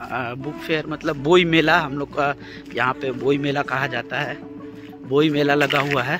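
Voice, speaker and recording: A man speaking at a fairly slow pace, dry sound with no echo, clear music in the background. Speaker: travel vlogger. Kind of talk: casual vlog chat. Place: street. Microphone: earbuds.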